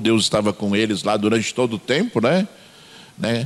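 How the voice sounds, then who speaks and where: The speaker is a man with very wide pitch swings. His pace is moderate. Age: 60s. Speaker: pastor. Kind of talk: sermon. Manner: hesitant, frequent fillers.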